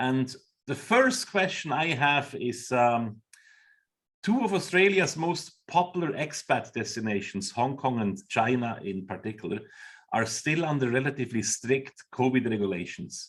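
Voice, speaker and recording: A man with a Swiss accent speaks at a moderate pace, his medium-pitched voice carrying lively intonation. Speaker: webinar host. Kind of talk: webinar moderation.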